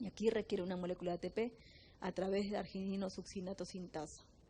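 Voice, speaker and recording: A woman's voice, dark and mellow and somewhat breathy, holds a fairly even intonation. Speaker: biochemistry teacher. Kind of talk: lecture. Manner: fast.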